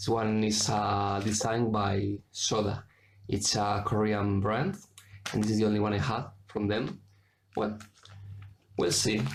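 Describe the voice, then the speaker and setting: In a room with audible echo, a man with a Spanish accent speaks at a fairly low pitch and a fairly slow pace, somewhat breathy, in a flat monotone at very even loudness, with long, frequent pauses. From Spain. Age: 20s. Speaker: cross stitch video maker. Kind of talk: casual show-and-tell vlog. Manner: halting, with many fillers and self-corrections.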